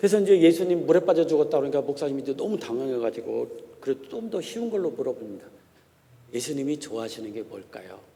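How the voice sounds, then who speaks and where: Very wide pitch swings and big swings in loudness mark this man's fairly high voice. He speaks at a very fast pace. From Korea, Chungcheong (Gongju). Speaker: pastor and theology professor. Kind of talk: sermon. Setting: church.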